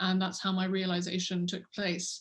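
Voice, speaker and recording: The voice is somewhat breathy, with an English accent. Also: woman. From England, London. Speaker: orchestra conductor. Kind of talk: interview. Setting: video call.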